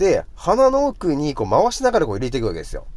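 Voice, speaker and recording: A man is speaking. His pace is fairly quick. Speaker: radio host. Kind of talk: casual solo radio talk. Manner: rambling, filler-heavy, conversational.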